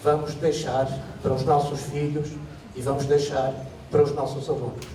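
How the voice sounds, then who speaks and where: With a European Portuguese accent, a man speaks fairly slowly at a fairly high pitch in a flat monotone, with noticeable background noise and audible room echo. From Portugal. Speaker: lecturer in education sciences. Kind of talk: conference talk. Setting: stage with audience.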